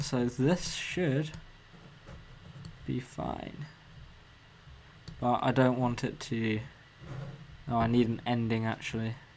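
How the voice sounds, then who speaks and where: With a southern English accent, a man speaks at a very slow pace with long, frequent pauses. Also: medium pitch for a man, fairly even intonation. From England, Cambridge. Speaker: motion designer streamer. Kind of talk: casual live stream Q&A. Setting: live stream. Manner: hesitant, many ums.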